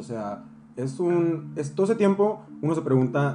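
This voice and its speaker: A man speaks with a Mexican accent and lively intonation. Noticeable background noise runs behind him. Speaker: medical student podcast co-host. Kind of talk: casual chat.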